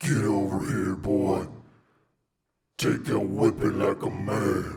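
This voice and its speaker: A man uses a put-on character voice, raspy and menacing, at a fairly low pitch with lively intonation. He talks at a fairly slow pace, and there is a slight echo. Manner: scary, menacing.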